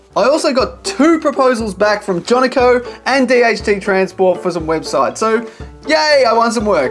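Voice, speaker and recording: Someone speaks at a moderate pace with faint music in the background. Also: man. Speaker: content creator. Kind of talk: casual vlog chat. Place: home room.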